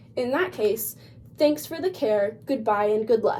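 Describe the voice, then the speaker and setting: A woman's cackling, put-on character voice, fairly high in pitch and at a fairly slow pace. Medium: read story. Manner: cackling, bossy.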